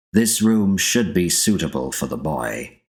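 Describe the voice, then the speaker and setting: A man puts on a character voice with a very deep, low pitch that swings very widely. He keeps a moderate pace. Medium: read story. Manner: cold, formal.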